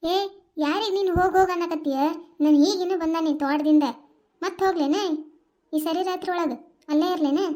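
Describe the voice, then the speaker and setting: A woman's cartoonish character voice at an extremely high pitch, moderate in pace, with fairly even intonation. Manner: gruff, bossy.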